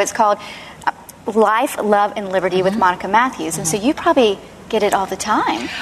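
A woman with a fairly high voice talks fairly quickly while noticeable background noise carries on. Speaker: talk show host. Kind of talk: panel discussion. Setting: studio with audience.

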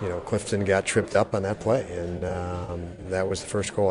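The speech moves at a moderate pace. Noticeable background noise runs beneath it. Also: man. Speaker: hockey coach. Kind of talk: postgame press conference remarks.

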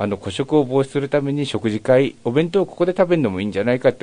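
With hardly any pauses, a man rushes along at a very fast pace in a dark, mellow tone at medium pitch, his pitch swinging very widely and his loudness shifting in big swings. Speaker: yakitori restaurant owner. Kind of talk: interview.

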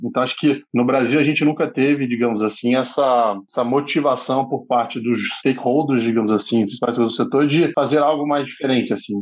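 A man with an ordinary speaking voice talks at a fairly quick pace and medium pitch. His intonation is fairly even, with hardly any pauses. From Brazil, Brasília. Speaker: startup founder and CEO. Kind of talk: casual podcast interview. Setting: studio.

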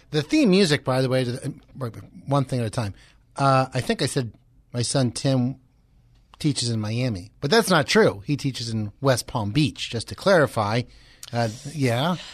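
A man of medium pitch, lively intonation, moderate pace and long, frequent pauses, against a quiet background. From Philadelphia area. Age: 50s. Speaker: radio host. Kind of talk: casual chat. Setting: studio.

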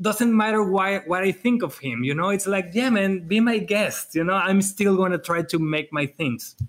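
With a Spanish accent, a man speaks at a high pitch. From Mexico. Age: 40s. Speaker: wedding photographer and educator. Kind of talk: casual chat. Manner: animated, energetic.

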